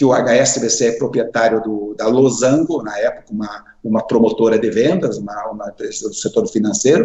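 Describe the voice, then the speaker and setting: A man speaks at a moderate pace. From Brazil, interior of Paraná. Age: 60s. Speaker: finance executive, association president. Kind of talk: interview. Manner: halting, with self-corrections.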